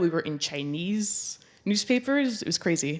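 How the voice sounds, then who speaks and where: A woman speaks at a moderate pace with a Flemish accent. The recording is very clean, with a silent background. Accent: Belgian (Flemish) English. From Belgium. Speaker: documentary photographer and filmmaker. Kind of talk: public talk.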